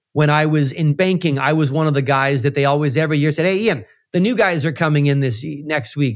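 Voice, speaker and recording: Fairly high-pitched man with a Canadian accent, a plain, everyday voice, at a fairly quick pace. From Central Canada (Manitoba). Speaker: financial modeling expert and educator. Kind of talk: interview.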